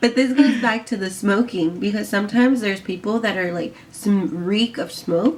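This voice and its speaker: Speaking at a moderate pace with hardly any pauses, a woman of medium pitch shows ordinary pitch variation over noticeable background noise. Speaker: vlogger. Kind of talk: casual chat.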